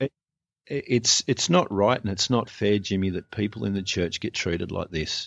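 Lively intonation marks a man's fairly low voice with an Australian accent. He talks at a moderate pace. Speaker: abuse survivor and church abuse activist. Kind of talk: personal testimony in interview. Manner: sarcastic, humorous.

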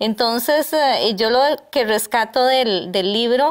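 There is a quiet background behind this woman. Her pitch variation is ordinary. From Costa Rica, San José; Costa Rica. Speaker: tourism entrepreneur; interview guest. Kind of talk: interview. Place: studio. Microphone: lapel.

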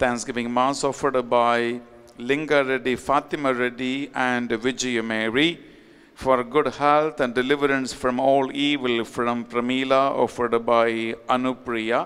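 A man speaks at medium pitch with very even loudness. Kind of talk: fervent sermon with repeated exhortations to confess sins. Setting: online Mass, recorded. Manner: emphatic, pleading, repetitive; animated, urgent. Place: church. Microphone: podium.

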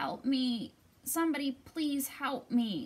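A high, female-sounding put-on character voice at a fairly slow pace. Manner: pleading.

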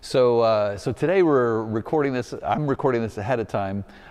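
A man at a fairly quick pace with ordinary pitch variation, against a quiet background. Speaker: pastor. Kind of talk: church announcement address. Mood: warm and upbeat. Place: church. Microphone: lapel.

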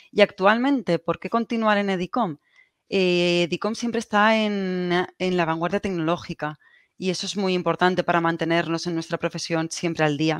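A woman in a Castilian accent speaks at a moderate pace, her pitch fairly low and varying in an ordinary way. The sound is dry with no echo, over a quiet background. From Spain, Valencia; Spain. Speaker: telecommunications engineer; presenter. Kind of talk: conference presentation. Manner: halting, repeats words. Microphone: video call.

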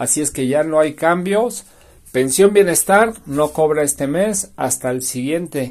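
A man with a normal speaking voice talks at a fairly slow pace. His pitch sits fairly high and his intonation is lively. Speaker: pensions news youtuber. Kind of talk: news commentary.

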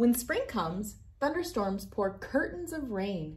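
The speech moves at a slow pace with big pitch swings. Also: woman, fairly high pitch for a woman.

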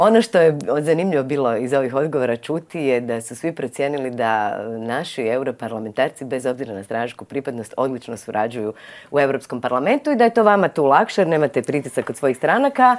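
A woman with a very deep, low pitch, very fast pace and lively intonation. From Croatia. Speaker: TV host; TV show host. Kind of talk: TV interview. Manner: formal. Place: studio. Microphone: lapel.

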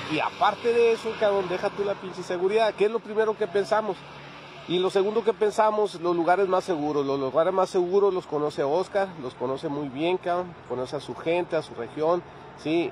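This man's voice sits high in pitch, with ordinary pitch variation and a fairly quick pace. The sound is dry with no echo, and light background noise is present. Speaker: motorcycle travel vlogger. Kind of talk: casual vlog chat. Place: street. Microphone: phone near.

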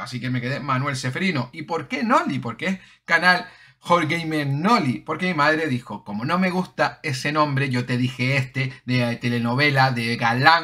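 Fairly high in pitch, the man's voice has a bright, sharp tone. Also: quiet background. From Canary Islands, Las Palmas de Gran Canaria; Canary Islands. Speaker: gaming YouTuber; gaming channel host. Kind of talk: casual Q&A monologue. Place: home room.

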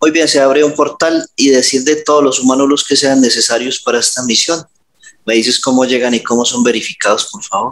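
At a fairly quick pace, a man talks with a fairly high pitch and fairly even intonation. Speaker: hypnotherapist. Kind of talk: hypnosis session. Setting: video call. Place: home room. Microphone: headset.

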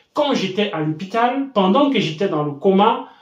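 Room echo is audible. The background is quiet. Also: man. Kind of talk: storytelling commentary to camera.

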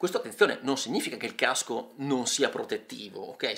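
Male speech set in a hushed, quiet background. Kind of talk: explanatory vlog talk. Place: home room. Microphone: phone near.

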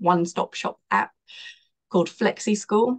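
A woman speaks at a fairly slow pace with vocal fry and ordinary pitch variation. The background is quiet. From South Africa. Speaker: online school founder; podcast guest. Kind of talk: interview conversation. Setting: video call. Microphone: video call.

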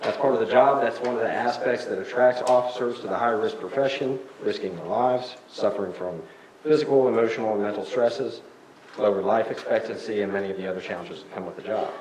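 A man speaks at a very fast pace. There is audible room echo and noticeable background noise. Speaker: police officer speaking at public comment. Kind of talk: public comment at council meeting. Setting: city council meeting. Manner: loud.

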